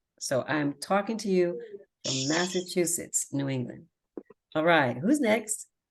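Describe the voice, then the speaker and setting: With an American accent and an unremarkable speaking voice, a woman talks at a fairly slow pace, her fairly low pitch carried by lively intonation. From US. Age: 50s. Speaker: language group host and Spanish teacher. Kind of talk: online meeting, casual teaching. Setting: video call.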